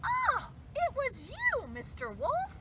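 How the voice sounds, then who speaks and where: A woman performs a put-on character voice. Loud background noise is present. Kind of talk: bedtime story. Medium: read story.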